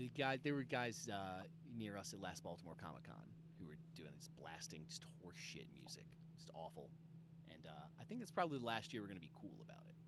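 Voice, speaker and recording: A man's medium-pitched voice with vocal fry, very wide pitch swings, big swings in loudness and a very fast pace, plus audible room echo. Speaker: comic book creator. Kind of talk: casual interview chat. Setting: video call.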